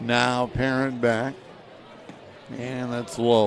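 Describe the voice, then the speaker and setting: A man with a medium-pitched voice talks at a very slow pace. Noticeable background noise and audible room echo fill the recording. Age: 70s. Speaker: baseball play-by-play announcer. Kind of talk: live commentary.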